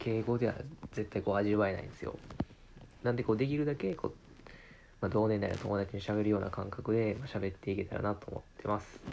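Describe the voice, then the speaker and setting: A man's relaxed tone, fairly low in pitch, at a fairly quick pace, with fairly even intonation and big swings in loudness. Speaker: podcaster. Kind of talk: casual monologue.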